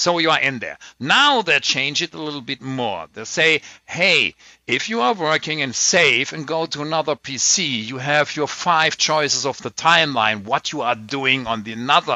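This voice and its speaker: Lively intonation marks this man's speech in a German accent. His pitch is fairly high and his pace moderate. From Germany. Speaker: tech podcast host. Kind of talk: casual chat.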